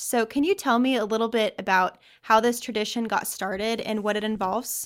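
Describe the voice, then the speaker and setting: In an ordinary speaking voice, a woman talks at a moderate pace with a fairly high pitch on a very clean recording with a silent background. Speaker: reporter. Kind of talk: news reporting, interviewing.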